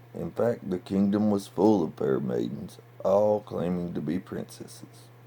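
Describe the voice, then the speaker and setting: Here is a man with a fairly low pitch. He talks at a moderate pace with lively intonation. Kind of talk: bedtime story reading.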